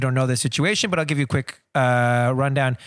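Here is a man with a plain, everyday voice. His pitch is medium, and he talks at a fairly quick pace. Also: very clean recording, silent background. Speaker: podcast co-host. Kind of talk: casual podcast conversation. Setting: studio, face to face across a table.

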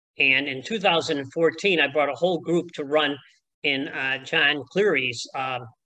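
With a Chicago accent, the speaker talks at a fairly slow pace in a bright, sharp tone with ordinary pitch variation. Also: man. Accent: Chicago American. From Chicago, US. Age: 70s. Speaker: retired athletics coach. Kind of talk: casual interview.

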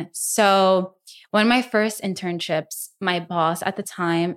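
On a very clean recording with a silent background, a woman with a Spanish accent speaks at a medium pitch with ordinary pitch variation. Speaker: content creator and influencer. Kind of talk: casual chat. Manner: animated.

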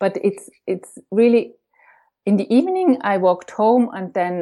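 A woman speaks with a non-native accent and a dark, mellow tone. Her pitch varies in an ordinary way against a quiet background. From Europe. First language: not English. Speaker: author. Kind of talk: interview. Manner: halting, many fillers.

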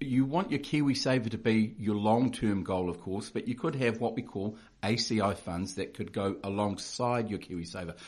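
At a moderate pace, a man speaks with hardly any pauses. His pitch is medium, with ordinary variation. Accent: New Zealand. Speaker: financial adviser. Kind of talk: informative interview chat.

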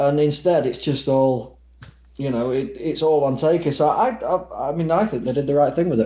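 A man, somewhat breathy, fairly high in pitch, at a moderate pace. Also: ordinary pitch variation. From Manchester, England. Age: 30s. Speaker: wrestling ring announcer. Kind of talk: casual chat.

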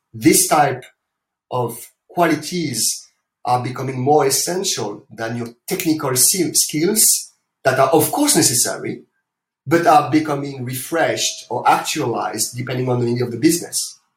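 With ordinary pitch variation and a moderate pace, the voice comes across as somewhat breathy. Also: man, fairly high pitch for a man. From France. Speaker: corporate sustainability executive. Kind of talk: interview.

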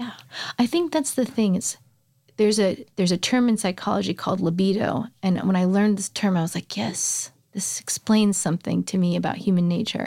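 Over a silent background in a very clean recording, a woman with an American accent talks at a fairly quick pace and medium pitch. Her dark, mellow tone is somewhat breathy, with ordinary pitch variation. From suburbs of Chicago. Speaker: singer-songwriter. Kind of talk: casual interview chat. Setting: studio.

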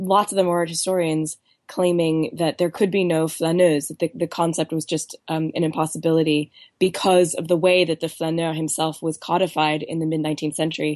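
Over a quiet background, a woman speaks at a moderate pace in a very deep, low pitch with monotone, flat intonation. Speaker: author. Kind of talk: interview.

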